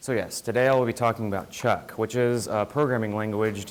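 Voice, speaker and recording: A soft-spoken man with an American accent talks at a medium pitch. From US Midwest (Joplin, Missouri). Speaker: student presenter. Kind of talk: student seminar presentation.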